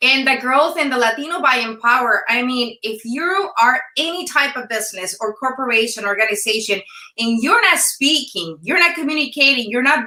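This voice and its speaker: A high-pitched woman's voice in a Mexican accent, bright and sharp in tone, with lively intonation and a fairly quick pace. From Sonora, Mexico. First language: Spanish. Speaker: former news anchor, entrepreneur. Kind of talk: interview. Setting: live video stream.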